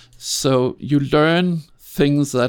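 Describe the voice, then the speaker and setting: A man speaks in a fairly high pitch with a Danish accent. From Denmark, Copenhagen. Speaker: film sound designer. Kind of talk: interview. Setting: home studio. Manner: halting.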